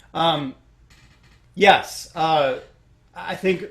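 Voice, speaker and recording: A man's somewhat breathy voice with a slight Chicago accent. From Chicago, US Midwest. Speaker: orchestral trumpet player. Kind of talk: interview Q&A. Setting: recorded at home, online Q&A. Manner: halting, many fillers.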